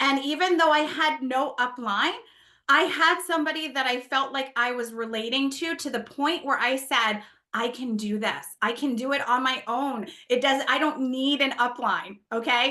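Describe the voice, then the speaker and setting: In an American accent, a woman speaks with a raised, projected voice at a high pitch. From New Jersey. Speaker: network marketing leader and former nurse. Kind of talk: motivational talk to an audience. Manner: loud; animated.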